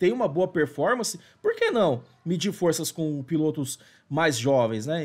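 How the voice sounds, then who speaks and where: This man's pitch sits fairly high. He talks at a moderate pace. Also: quiet background. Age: 40s. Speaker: motorsport journalist. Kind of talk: video commentary. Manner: hesitant, frequent fillers.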